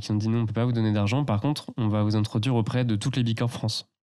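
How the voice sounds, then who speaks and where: A man speaks at a medium pitch with a dark, mellow tone. His intonation is monotone and flat. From Loire valley, near Tours. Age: 20s. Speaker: eco content creator. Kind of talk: casual interview. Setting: host's living room.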